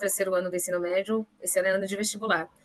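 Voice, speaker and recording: A woman speaks at a very fast pace and medium pitch in a monotone, flat delivery. Noticeable background noise is present. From Brazil, São Paulo state interior (Pindamonhangaba). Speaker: supply chain manager. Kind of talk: interview.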